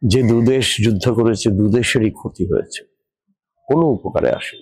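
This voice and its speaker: A man speaks in an unremarkable speaking voice at medium pitch with ordinary pitch variation. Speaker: poet and professor. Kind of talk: opinion commentary to camera.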